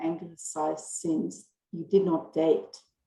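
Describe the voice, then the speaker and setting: With fairly even intonation, a woman talks in a German accent. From western Austria. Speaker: marketing professor. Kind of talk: interview answer.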